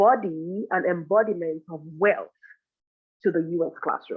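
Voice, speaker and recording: In a non-native accent, this woman talks with a fairly low voice. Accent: foreign. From Nigeria. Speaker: professor. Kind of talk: conference presentation.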